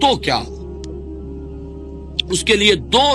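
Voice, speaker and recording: A man speaks in a raised, projected voice with a high pitch and very wide pitch swings. Music plays in the background. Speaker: Islamic scholar giving a lecture. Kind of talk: Islamic religious lecture (bayan). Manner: earnest, preaching, fluent.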